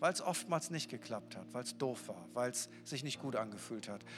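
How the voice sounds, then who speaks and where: The tone is animated, with audible room echo and music in the background. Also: man. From northern Germany. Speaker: pastor. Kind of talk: sermon. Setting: church.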